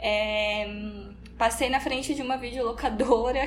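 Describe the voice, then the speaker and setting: A woman speaks at a moderate pace with a fairly high pitch and a flat, monotone delivery. Noticeable background noise and audible room echo fill the recording. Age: 20s. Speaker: literature teacher and researcher. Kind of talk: interview.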